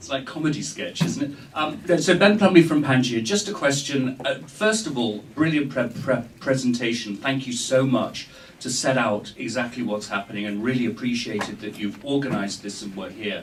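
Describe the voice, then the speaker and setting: With hardly any pauses, a man speaks with lively intonation and big swings in loudness, amid audible room echo and noticeable background noise. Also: medium pitch for a man, moderate pace. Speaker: NGO representative. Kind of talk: audience question. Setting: conference room without mic. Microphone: no microphone.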